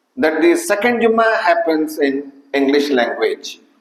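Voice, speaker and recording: Very wide pitch swings ring out against audible room echo. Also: man. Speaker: Friday preacher. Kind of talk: sermon. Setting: mosque. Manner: formal.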